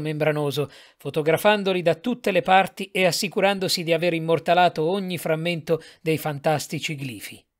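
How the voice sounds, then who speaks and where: A solemn-toned man, high in pitch with ordinary pitch variation, on a very clean recording with a silent background. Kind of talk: audiobook reading of gothic horror fiction, scripted narration. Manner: measured, formal, solemn literary delivery.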